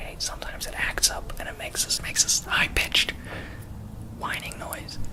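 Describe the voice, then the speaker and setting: A man whispers over clearly audible background noise, keeping a medium speed. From South Africa. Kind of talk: ASMR-style movie review to camera, casual opinion. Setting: outdoors with traffic noises and barking dogs. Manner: casual, opinionated, critical.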